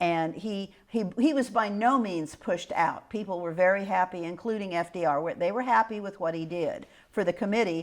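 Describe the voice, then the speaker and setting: A woman with a Midwestern US accent speaks at a moderate pace with ordinary pitch variation. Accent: US Midwest. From Kansas. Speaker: local historian. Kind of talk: oral history interview. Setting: historic house.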